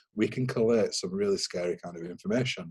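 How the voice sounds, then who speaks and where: The speaker talks at a moderate pace with a Yorkshire accent. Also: man. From Yorkshire, northern England. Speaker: cyber security consultant. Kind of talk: webinar interview.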